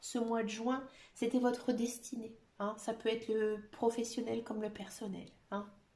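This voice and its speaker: This woman's voice is somewhat breathy. She talks at a very slow pace. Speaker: tarot card reader. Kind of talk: tarot reading to camera. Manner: hesitant, many fillers.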